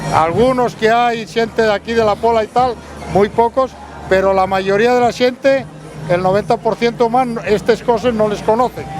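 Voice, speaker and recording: Over crowd noise in the background, a man with an Asturian accent speaks at a high pitch, with fairly even intonation and very even loudness. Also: moderate pace. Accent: Asturian, kept after decades in Mexico. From Asturias, Spain. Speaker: emigrant visiting home festival. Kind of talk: street interview.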